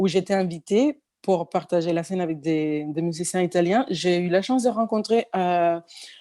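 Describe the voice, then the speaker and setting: A woman with a Spanish accent and a fairly low pitch talks at a moderate pace with ordinary pitch variation, on a very clean recording with a silent background. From Cuba. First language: Spanish (speaking French). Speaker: pianist and singer. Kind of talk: interview. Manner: halting, many fillers and restarts.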